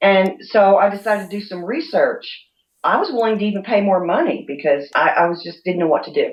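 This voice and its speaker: A woman with a normal speaking voice, medium pitch, lively intonation, big swings in loudness and a fairly quick pace. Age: 60s. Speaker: essential oils author. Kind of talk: interview.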